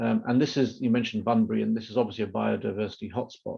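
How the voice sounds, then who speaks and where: A man speaks with a British accent. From Britain. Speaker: moderator, policy institute director. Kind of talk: moderating a panel webinar.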